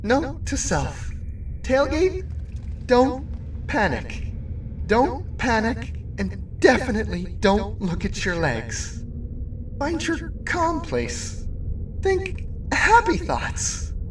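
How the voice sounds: Put-on character voice at a very slow pace, with very wide pitch swings, long, frequent pauses and clear background noise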